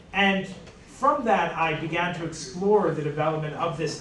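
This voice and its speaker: With an American accent, a man speaks at a fairly high pitch with ordinary pitch variation, amid audible room echo and noticeable background noise. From United States. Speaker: history professor. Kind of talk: panel talk. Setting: panel discussion with live audience, no microphone. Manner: hesitant fillers (um).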